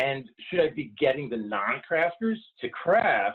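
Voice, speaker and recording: With very wide pitch swings, a man speaks in a voice that sits fairly high. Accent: slight New York. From New York. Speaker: wellness consultant. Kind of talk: webinar presentation.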